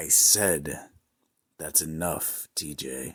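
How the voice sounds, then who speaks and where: A man performs a put-on character voice. It is raspy and very deep in pitch. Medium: audio drama. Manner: cold, controlled.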